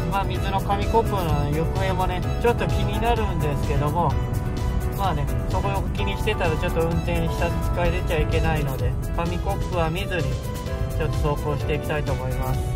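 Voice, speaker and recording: A man talks at a fairly quick pace over loud music in the background. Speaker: car vlogger. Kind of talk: casual talk to camera while driving. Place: car. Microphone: phone near.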